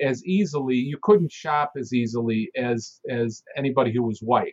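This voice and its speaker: A man with a Chicago accent speaks at a moderate pace with lively intonation, the sound dry and close with no echo. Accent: Chicago American English. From US Midwest, Chicago. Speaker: author and former journalist. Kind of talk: interview. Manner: halting, many fillers.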